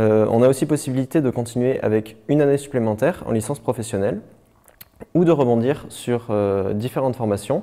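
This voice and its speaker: A man's dark, mellow voice at very even loudness, with ordinary pitch variation and long, frequent pauses over a quiet background. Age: 20s. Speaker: university student. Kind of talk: testimony. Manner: halting.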